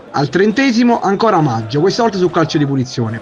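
Noticeable background noise sits behind a man talking at a very fast pace. His pitch swings very widely. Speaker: sports commentator. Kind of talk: sports match report, recap narration of highlights. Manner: brisk, matter-of-fact, formal.

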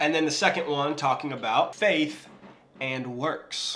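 Here a man talks at a moderate pace. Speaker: Bible teacher vlogger. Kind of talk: casual Bible teaching. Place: kitchen.

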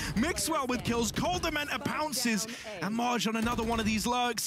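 With music playing in the background, a man speaks fairly quickly in a high voice, his tone animated and dramatic and his intonation lively. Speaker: esports caster play-by-play commentator. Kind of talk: live esports commentary, play-by-play. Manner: animated, fast-paced, dramatic, builds hype around clutch moments.

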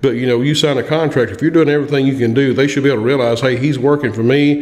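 With audible room echo, a man talks fast at medium pitch, his tone slightly mellow and his intonation fairly even.

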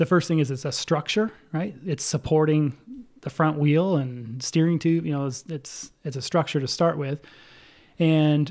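A man, his pitch varying in an ordinary way, talks at a moderate pace over a quiet background. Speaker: podcast guest. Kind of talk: interview answer. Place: home room. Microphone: studio mic.

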